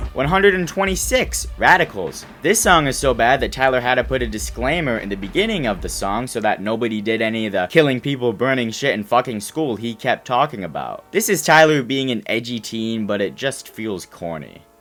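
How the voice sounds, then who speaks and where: With music in the background, a man speaks at a fairly quick pace and medium pitch, with lively intonation and hardly any pauses. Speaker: music reviewer, YouTuber. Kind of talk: casual commentary ranking songs.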